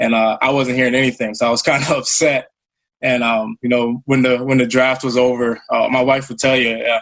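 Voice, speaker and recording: This man speaks fairly quickly with an American accent and a medium pitch. His intonation is flat and monotone. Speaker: pro football player. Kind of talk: interview. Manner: halting.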